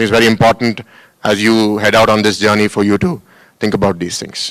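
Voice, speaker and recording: Delivered at a very fast pace with fairly even intonation, the speech comes in an Indian accent. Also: man, fairly low pitch for a man. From India, Hyderabad. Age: 30s. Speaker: school founder and politician. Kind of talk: welcome address to students. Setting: auditorium with audience.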